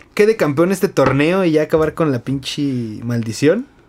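A man's unremarkable speaking voice, fairly high in pitch, with lively intonation. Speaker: podcast host. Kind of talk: casual chat.

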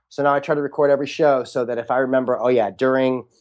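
Over a quiet background, a man's words come out at a very fast pace. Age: 30s. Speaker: magician and comedian. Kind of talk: interview conversation.

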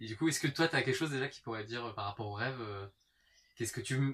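A man at medium pitch and a very fast pace. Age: 30s. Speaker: stage performer and singer. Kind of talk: casual chat.

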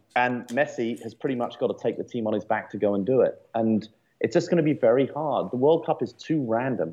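A man with an English accent speaks at a fairly quick pace, his medium-pitched voice showing ordinary pitch variation. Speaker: podcast co-host. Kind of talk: casual chat. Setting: studio.

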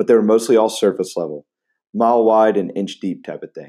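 Speaking at a very fast pace, a man has a dark, mellow tone and a fairly low pitch. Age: 20s. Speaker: podcast host and high school teacher. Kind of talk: scripted podcast monologue.

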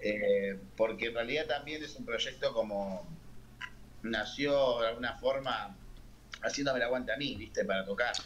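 A man talks at a moderate pace in a Rioplatense accent. Audible room echo and noticeable background noise surround him. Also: medium pitch for a man, ordinary pitch variation. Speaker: singer, keyboardist and songwriter. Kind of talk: casual interview.

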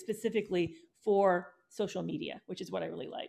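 Vocal fry marks this woman's voice. She talks at a fairly quick pace with lively intonation.

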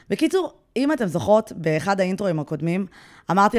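A woman at medium pitch and a very fast pace, on a very clean recording with a silent background. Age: 30s. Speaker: podcast host and blogger. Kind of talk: casual chat.

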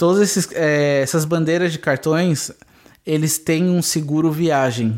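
A man's fairly high voice at a very slow pace, with ordinary pitch variation and very even loudness. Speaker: podcast co-host. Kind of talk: casual chat.

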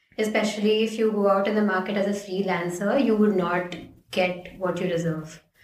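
Audible room echo surrounds a woman speaking at a moderate pace and medium pitch, with fairly even intonation and very even loudness. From India, Ahmedabad (Gujarat). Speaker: designer, design master's student. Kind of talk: casual interview.

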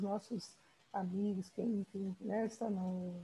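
At a fairly slow pace, a woman speaks in a medium-pitched voice. Her tone is dark, mellow and somewhat breathy. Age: 60s. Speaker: podcast host. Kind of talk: interview.

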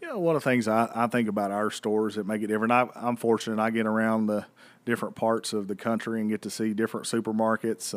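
A man talks at a very fast pace with a fairly low pitch and monotone, flat intonation. The recording is very clean, with a silent background. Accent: American. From northeast Tennessee, near Bristol. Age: 30s. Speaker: grocery chain marketing executive. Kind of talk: casual interview.

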